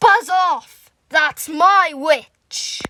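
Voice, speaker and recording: A woman in a put-on character voice growls in a croaky, shrill tone at an extremely high pitch. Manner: aggressive.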